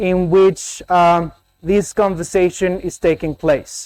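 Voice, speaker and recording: A man with a high voice and a Spanish accent speaks at a fairly slow pace with fairly even intonation. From Colombia. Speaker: academic keynote speaker. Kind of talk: conference keynote.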